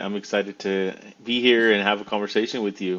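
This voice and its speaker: At a very fast pace, a man delivers his words in a fairly low pitch with monotone, flat intonation. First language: Spanish. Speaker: creator and former salesperson. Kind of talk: interview. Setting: podcast.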